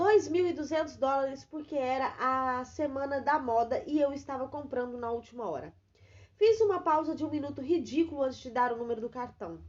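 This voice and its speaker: A woman with a high pitch and lively intonation speaks at a moderate pace. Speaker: voice actor. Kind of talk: audiobook reading.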